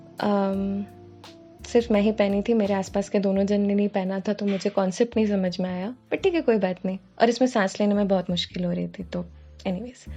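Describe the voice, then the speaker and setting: The intonation stays fairly even. Music plays in the background. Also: woman, medium pitch for a woman, moderate pace. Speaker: student and cover singer. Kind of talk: vlog voice-over narration. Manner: casual, self-deprecating.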